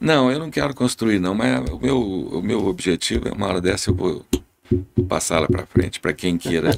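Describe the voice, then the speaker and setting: Speaking at a moderate pace, a man with a very deep, low pitch uses very wide pitch swings and shows vocal fry. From Brazil, Goiás. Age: 70s. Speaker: airline pilot. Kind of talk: podcast interview.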